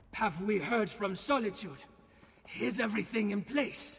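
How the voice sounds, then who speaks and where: A man's high-pitched, put-on character voice at a moderate pace. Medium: video game. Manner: fierce, vengeful.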